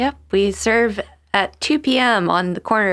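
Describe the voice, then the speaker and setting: With an American accent, a woman speaks in a normal speaking voice at a fairly slow pace. Her pitch variation is ordinary, and the very clean recording has a silent background. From Charleston, South Carolina. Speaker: food-sharing volunteer. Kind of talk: casual interview chat.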